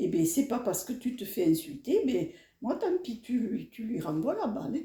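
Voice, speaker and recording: A woman with a fairly high pitch and a dark, mellow tone sounds somewhat breathy, her pitch swinging very widely. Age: 70s. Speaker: elderly interviewee. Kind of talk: interview. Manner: animated.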